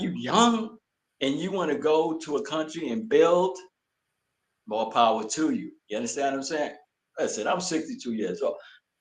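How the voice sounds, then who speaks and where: In a put-together New York accent, a man with a fairly high pitch and vocal fry talks at a moderate pace, his pitch swinging very widely. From Brooklyn, New York. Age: 60s. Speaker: retired military veteran. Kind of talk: interview.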